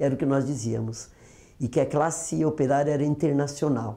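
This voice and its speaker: Intonation stays lively. A dark, mellow tone colors the voice. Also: woman. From Brazil, Osasco (São Paulo). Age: 60s. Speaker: former union leader. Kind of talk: oral history testimony.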